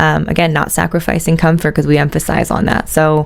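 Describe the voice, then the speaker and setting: Noticeable background noise under a woman speaking at a fairly low pitch. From USA. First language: Italian. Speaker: business heir, shoe company executive. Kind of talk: interview. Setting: studio. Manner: hesitant, many fillers.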